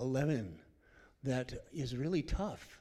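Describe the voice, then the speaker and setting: A man speaks with a dark, mellow tone at a fairly high pitch. His intonation is lively. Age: 70s. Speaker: church member sharing testimony. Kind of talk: testimony.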